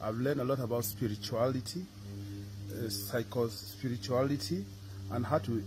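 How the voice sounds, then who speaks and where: Over noticeable background noise, a man speaks in a somewhat breathy voice with ordinary pitch variation. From Cameroon. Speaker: religious brother, student. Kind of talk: testimony. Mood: grateful, calm. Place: street. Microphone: phone near.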